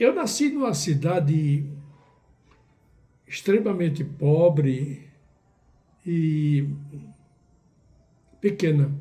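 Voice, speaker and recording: With audible room echo, a man with a fairly high pitch and a dark, mellow tone talks at a very slow pace with ordinary pitch variation. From Brazil, Northeast (Ceará, Cariri region). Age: 80s+. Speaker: writer and poet. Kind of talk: interview, life story. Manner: halting, with fillers.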